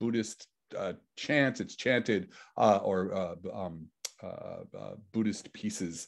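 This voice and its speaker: A man in a New York accent at a fairly slow pace, against a quiet background. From New York City. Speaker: physicist. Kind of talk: lecture.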